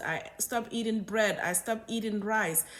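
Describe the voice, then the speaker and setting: Someone with a Senegalese accent speaks at a moderate pace. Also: woman. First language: Wolof. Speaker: doctor. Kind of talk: health talk video.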